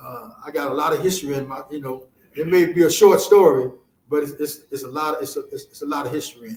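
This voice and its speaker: With an American accent, a man speaks at a very fast pace with a fairly high pitch, fairly even intonation and big swings in loudness. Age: 70s. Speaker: author. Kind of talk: interview. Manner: halting, many repetitions.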